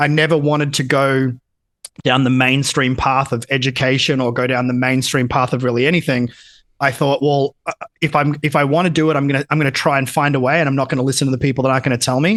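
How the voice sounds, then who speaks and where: Speaking at a very fast pace with very even loudness, a man has a fairly high pitch and an Australian accent. His intonation is monotone and flat. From Australia, country Victoria (Geelong). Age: 30s. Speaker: entrepreneur, education business owner. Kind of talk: podcast interview. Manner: casual, filler-heavy.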